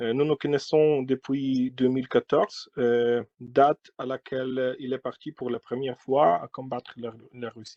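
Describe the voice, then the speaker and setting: This is a man at a medium pitch. He speaks at a very slow pace. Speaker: Ukrainian member of parliament. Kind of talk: testimony. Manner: halting, many hesitations.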